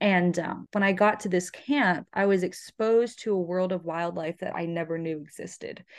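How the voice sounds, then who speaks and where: A woman speaks with a plain, everyday voice at a medium pitch in an American accent. She keeps a moderate pace with ordinary pitch variation and hardly any pauses. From Florida. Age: 20s. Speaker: pre-veterinary student and shotgun instructor. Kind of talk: interview.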